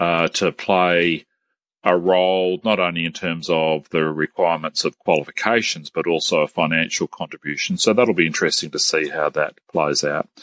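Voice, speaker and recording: Over a quiet background, a man with a very deep, low pitch speaks in an Australian accent at a moderate pace. The sound is dry and close, without echo. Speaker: TAFE sector head. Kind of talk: interview. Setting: phone call.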